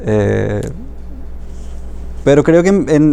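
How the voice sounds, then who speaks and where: A man with a Paraguayan accent. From Paraguay, Alto Paraná. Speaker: writer. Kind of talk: interview. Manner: halting, many fillers and repetitions.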